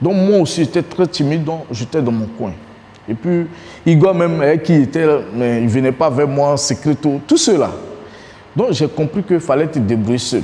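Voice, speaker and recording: A man with a fairly high pitch talks at a moderate pace, his intonation lively, broken by long, frequent pauses. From Côte d'Ivoire, Abidjan (Adjamé); Côte d'Ivoire. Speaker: former footballer. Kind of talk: documentary interview. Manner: casual, colloquial. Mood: reflective, recounting memories. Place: home room.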